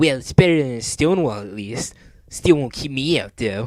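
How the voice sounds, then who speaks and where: At a moderate pace, a man performs a put-on character voice with a medium pitch. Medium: read story. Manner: cocky, mocking.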